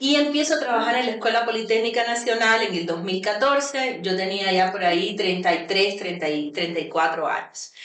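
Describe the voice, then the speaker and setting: Over noticeable background noise, a woman at medium pitch talks at a moderate pace with lively intonation and hardly any pauses. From Cuba. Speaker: university vice-rector. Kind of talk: radio interview.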